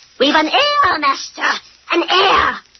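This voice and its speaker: An extremely high-pitched, put-on character voice with very wide swings in pitch. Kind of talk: 1940s radio acting. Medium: old radio play. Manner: hesitant, deferential.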